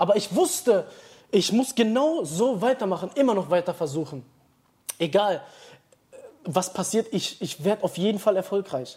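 A man with a high voice speaks at a moderate pace with lively intonation. He takes long, frequent pauses. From Dortmund, western Germany. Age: 20s. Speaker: short-term rental entrepreneur. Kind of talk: casual interview.

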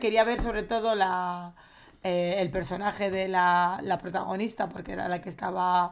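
In a normal speaking voice, a woman talks at a moderate pace and medium pitch. Her intonation is fairly even. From Valencia, Spain. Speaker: film podcast co-host. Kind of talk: casual chat.

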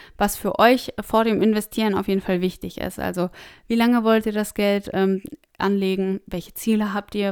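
A woman's monotone, flat delivery at medium pitch and moderate pace, on a very clean recording with a silent background. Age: 20s. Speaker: personal finance podcast host. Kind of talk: solo podcast monologue.

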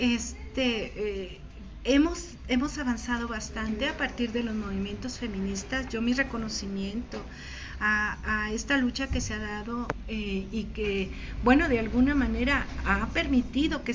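There is noticeable background noise and audible room echo. A woman speaks at a fairly slow pace. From Mexico, Michoacán (Morelia). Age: 60s. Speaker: poet. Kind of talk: interview with poetry reading.

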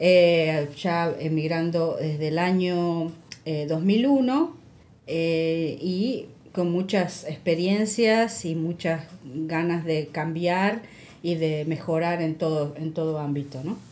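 Speaking very slowly in a Buenos Aires accent, a woman has a fairly low pitch, a dark, mellow tone and ordinary pitch variation, with audible room echo. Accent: Argentine Spanish (porteño). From Buenos Aires, Argentina. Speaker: podcast co-host. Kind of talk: casual chat.

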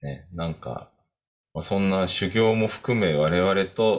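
Lively intonation marks this man's speech. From Tokyo, Japan. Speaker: podcast co-host, coaching program faculty. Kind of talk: casual chat. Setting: home, upstairs room.

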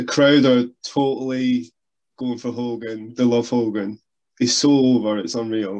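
This man has a Scottish accent and a medium pitch. He talks at a fairly slow pace with fairly even intonation. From Scotland. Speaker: wrestling podcast co-host. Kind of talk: casual chat.

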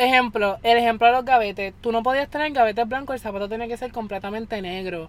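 Fairly quick delivery in an unremarkable speaking voice, pitch varying in an ordinary way. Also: woman. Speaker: guest, friend of hosts. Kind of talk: casual storytelling.

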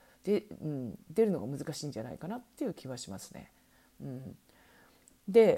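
A woman's dark, mellow voice at a moderate pace, swinging very widely in pitch. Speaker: online shopping consultant and podcast host. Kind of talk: solo podcast talk. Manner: many fillers, hesitant.

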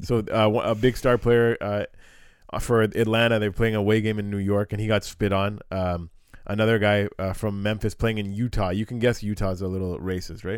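A man's fairly low pitch in a monotone, flat intonation at a fairly quick pace, on a very clean recording with a silent background. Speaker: podcast host. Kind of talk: casual chat. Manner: laughing, joking.

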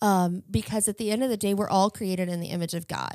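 A woman speaks in a plain, everyday voice with an American accent, at medium pitch with fairly even intonation. The recording is very clean, with a silent background. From Virginia, Chesterfield County. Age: 30s. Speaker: church community outreach worker. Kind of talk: interview. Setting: studio.

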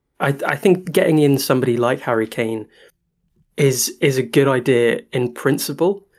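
A man with a British accent speaks at a medium pitch. His pace is moderate and his pitch variation ordinary. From Britain. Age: 20s. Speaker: football podcast co-host. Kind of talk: casual chat.

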